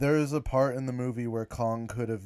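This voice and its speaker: A man's speech comes at a moderate pace, captured in a very clean recording with a silent background. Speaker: YouTuber. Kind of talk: live stream commentary. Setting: live stream. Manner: halting.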